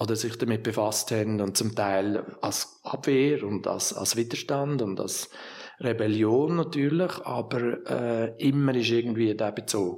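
Ordinary pitch variation at a fairly slow pace, with noticeable background noise. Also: man, medium pitch for a man. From Switzerland, Lucerne. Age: 60s. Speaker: art museum director. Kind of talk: interview. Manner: halting.

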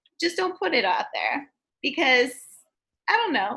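Her voice is raised and projected, with a bright, sharp tone. This woman speaks at a high pitch. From Turkey. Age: 20s. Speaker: social media worker. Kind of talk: casual chat. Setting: video call.

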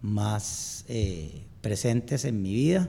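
A man's voice with very wide pitch swings. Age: 50s. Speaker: amateur endurance athlete. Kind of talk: interview.

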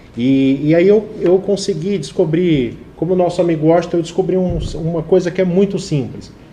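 Lively intonation carries this moderately paced speech over noticeable background noise. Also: man. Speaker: advertising professional and TV presenter. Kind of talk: live talk show interview.

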